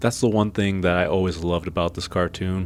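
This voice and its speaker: Music plays behind a man with a very deep, low pitch. His intonation is flat and monotone. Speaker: video essayist, cartoon reviewer. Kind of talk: video essay commentary.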